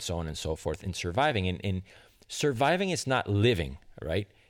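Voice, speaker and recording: Fairly low male voice, very clean recording, completely silent background. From outside the US, immigrant. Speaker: podcast host, musician. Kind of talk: solo podcast monologue. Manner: casual, laughs often.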